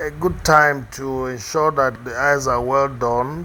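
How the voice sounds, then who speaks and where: A man with a Nigerian accent talks at a very slow pace amid noticeable background noise. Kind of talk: unscripted commentary on a makeup tutorial. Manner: hesitant, unhurried.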